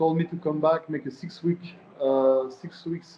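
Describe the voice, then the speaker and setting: A fairly high-pitched man's voice in a Swiss French accent. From Switzerland, French-speaking. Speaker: professional MMA fighter. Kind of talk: interview. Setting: at an osteopath's during treatment.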